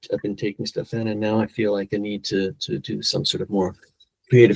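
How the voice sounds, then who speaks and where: Fairly low-pitched, a man speaks at a fairly quick pace with ordinary pitch variation in a dry, close sound with no echo. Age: 60s. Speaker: polyglot and language educator. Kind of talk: podcast interview. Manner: halting, many repeated words.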